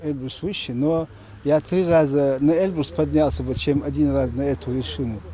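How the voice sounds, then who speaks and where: A man talks at a moderate pace in a fairly high voice with a dark, mellow tone. His intonation is lively. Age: 60s. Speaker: amateur mountaineer. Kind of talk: interview.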